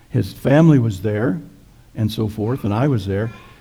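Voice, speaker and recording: Somewhat breathy, a man's voice has a dark, mellow tone. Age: old. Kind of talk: sermon. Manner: halting.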